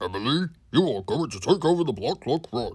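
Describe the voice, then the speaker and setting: A man's put-on character voice, fairly high in pitch with very wide pitch swings, at a fairly quick pace on a very clean recording with a silent background. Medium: read story. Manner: authoritative.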